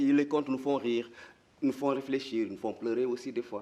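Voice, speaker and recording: A man with a dark, mellow tone talks at medium pitch with ordinary pitch variation. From Mauritania. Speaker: storyteller. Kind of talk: interview answer. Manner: hesitant, repeats words.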